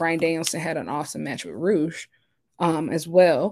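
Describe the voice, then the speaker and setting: Recorded very clean with a silent background, a woman with a very deep, low pitch and vocal fry speaks in an animated tone at a moderate pace, with ordinary pitch variation. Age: 20s. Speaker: wrestling podcast host. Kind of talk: solo podcast monologue.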